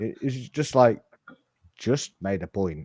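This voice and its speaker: With a northern English accent, a man talks at a very slow pace, his medium-pitched voice dark and mellow with vocal fry. His intonation is lively. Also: dry, close sound with no echo. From northern England. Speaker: football podcast host. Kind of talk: casual chat. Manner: halting.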